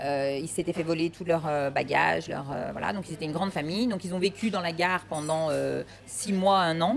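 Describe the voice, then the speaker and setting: With noticeable background noise behind her, a woman speaks fairly quickly at a fairly low pitch, using ordinary pitch variation. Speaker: ice cream shop owner. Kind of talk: interview.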